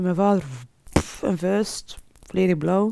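A woman's voice in a dark, mellow tone. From Flanders, Belgium, Moroccan family. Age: 40s. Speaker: pharma sales rep. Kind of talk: personal testimony interview.

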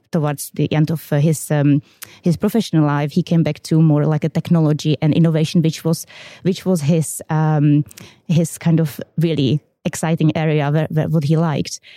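A woman with a Czech accent speaks at a moderate pace in a very deep, low voice, her dark, mellow tone held in a monotone, flat intonation over a dry, close sound with no echo. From Czech Republic. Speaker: quality systems manager. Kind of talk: interview.

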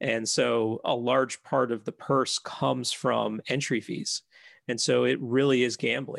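A man is heard with a dry, close sound with no echo against a quiet background. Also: fairly slow pace. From Chicago area, US (north shore), earlier Philadelphia. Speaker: golf society territory manager, former pro golfer. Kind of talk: casual chat. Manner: hesitant, many fillers.

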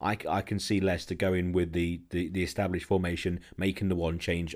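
Recorded very cleanly against a silent background, a man talks at a moderate pace in a very deep, low voice. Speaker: football podcast host. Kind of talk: casual chat.

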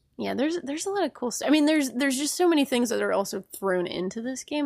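In a very clean recording with a silent background, a woman speaks very fast. Her pitch swings very widely. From Rhode Island, New England. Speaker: game journalist. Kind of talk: casual chat. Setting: studio. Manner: laughs often.

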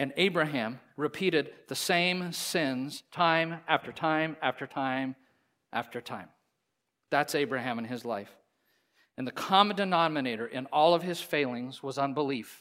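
A man speaks at a fairly slow pace with a fairly high pitch and a bright, sharp tone. The recording is very clean, with a silent background. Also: ordinary pitch variation. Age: 50s. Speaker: pastor. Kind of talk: sermon. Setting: church.

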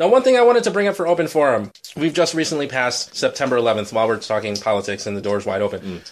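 A man with a Chicago accent talks at a medium pitch and a very fast pace, his pitch swinging very widely with hardly any pauses. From Chicago area. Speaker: podcast host and editor. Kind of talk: casual chat. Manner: fast talker.

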